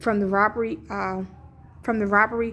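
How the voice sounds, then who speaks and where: A woman at a very fast pace in a monotone, flat intonation. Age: 50s. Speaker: vlogger. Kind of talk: casual vlog rant. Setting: at a hospital.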